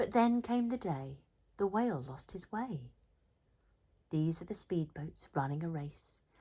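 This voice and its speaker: A woman with an English accent speaks at a fairly slow pace with long, frequent pauses. Her fairly low, somewhat breathy voice has a dark, mellow tone and very wide pitch swings. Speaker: teacher. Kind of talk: children's picture book read-aloud.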